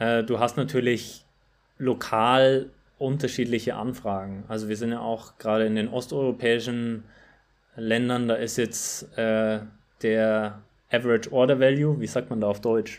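A man speaks at a medium pitch and a fairly slow pace in a monotone, flat intonation. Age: 20s. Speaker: running shop marketer and former competitive runner. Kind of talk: casual interview. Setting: remote call.

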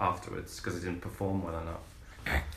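Noticeable background noise fills the recording. A man speaks over it at a fairly quick pace. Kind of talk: casual chat. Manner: joking, irreverent.

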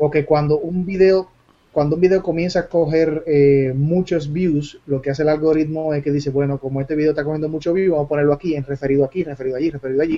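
At a very fast pace, a man speaks with a dark, mellow tone and a fairly high pitch. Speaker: YouTuber. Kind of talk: casual chat. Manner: energetic.

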